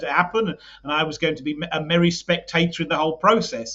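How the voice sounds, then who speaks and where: A man with a British accent talks at a fairly high pitch with ordinary pitch variation. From UK. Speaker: political party leader. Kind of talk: podcast interview. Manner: halting, many repetitions.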